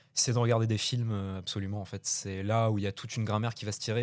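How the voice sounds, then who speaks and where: In a very clean recording with a silent background, a man with a medium-pitched voice speaks with fairly even intonation. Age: 20s. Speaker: young film director and actor. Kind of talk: radio interview. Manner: halting, many hesitations.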